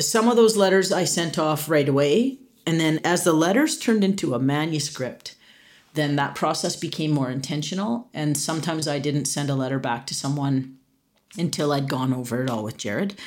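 The speaker talks at a fairly quick pace with a Canadian accent. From Canada. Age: 50s. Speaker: author and storyteller. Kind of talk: interview.

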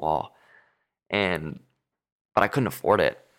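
A man with an American accent and vocal fry at a moderate pace, on a very clean recording with a silent background. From Southern California. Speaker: musician. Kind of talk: casual chat.

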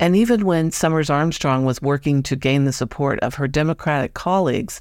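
Moderate pace in a very clean recording with a silent background. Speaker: podcast host. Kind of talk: scripted narration.

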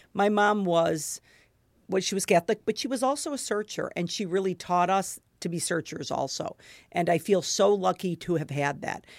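An animated tone and lively intonation carry the speech at a moderate pace. The recording is very clean with a silent background and a dry, close sound with no echo. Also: woman, medium pitch for a woman. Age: 50s. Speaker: podcast host and food blogger. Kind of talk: casual interview chat. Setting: in person, sitting across from guest.

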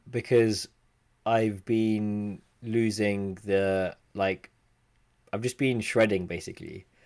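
Very slow and playful, a man talks with fairly even intonation at a fairly low pitch. The recording is very clean, with a silent background. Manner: joking, playful.

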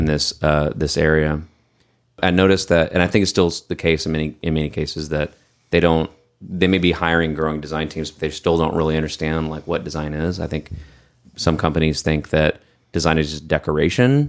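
A man with an American accent, very deep, low pitch, monotone, flat intonation and a fairly quick pace. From Texas. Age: 40s. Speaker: podcast host, designer. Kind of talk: casual chat. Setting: studio, in-person video recording.

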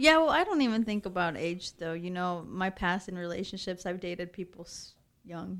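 Over a very clean recording with a silent background, a woman with a plain, everyday voice speaks at a moderate pace and medium pitch, with ordinary pitch variation and big swings in loudness. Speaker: podcast co-host. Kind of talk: casual chat.

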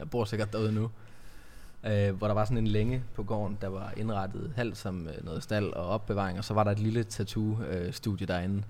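A man with a fairly low pitch talks at a moderate pace. His intonation stays fairly even, and audible room echo surrounds him. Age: 30s. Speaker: podcast host, tattoo studio owner. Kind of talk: casual interview chat.

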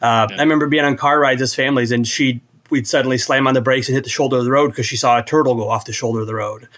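With an American accent, a man speaks very fast at a medium pitch and with fairly even intonation. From Iowa. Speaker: programmer and app developer. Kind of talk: casual chat.

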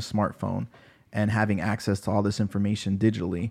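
A man with an ordinary speaking voice, fairly low pitch and fairly even intonation, over a quiet background. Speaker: pharmacist and podcast host. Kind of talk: casual interview. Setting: studio.

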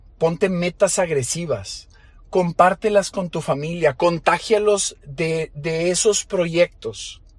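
Very slowly, a man speaks in a high pitch. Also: ordinary pitch variation. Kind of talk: motivational monologue. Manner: emotional, voice breaking.

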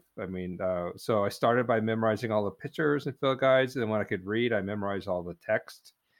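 Talking at a very fast pace, a man has a fairly low pitch and a West Coast accent. His pitch variation is ordinary. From US Pacific Northwest, coastal Oregon. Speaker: naturalist and author. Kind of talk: casual chat.

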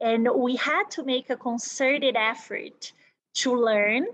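At a fairly slow pace, a woman speaks in a high pitch with a Portuguese accent. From Brazil. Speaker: business executive. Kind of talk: interview.

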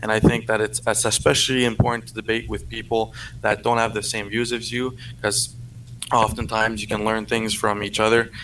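This man speaks with a French accent at a fairly quick pace, in a medium pitch with monotone, flat intonation. His tone is bright and sharp, with vocal fry. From Canada. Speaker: convoy supporter caller. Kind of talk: debate. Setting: remote call from PC.

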